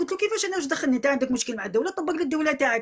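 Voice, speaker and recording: A woman's high-pitched voice, bright and sharp in tone, with lively intonation. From Algeria, Algiers. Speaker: vlogger airing a grievance. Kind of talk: complaint testimony to camera. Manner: repetitive, emphatic.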